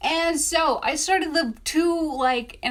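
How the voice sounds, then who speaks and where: The woman speaks in an animated tone. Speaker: self-published author and video creator. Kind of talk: casual storytelling vlog.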